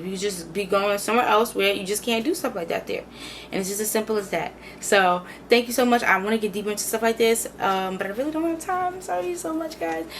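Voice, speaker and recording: Talking at a very fast pace with lively intonation, a woman with a fairly high pitch is heard over noticeable background noise. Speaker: video creator. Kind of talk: casual, slangy. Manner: fast talker.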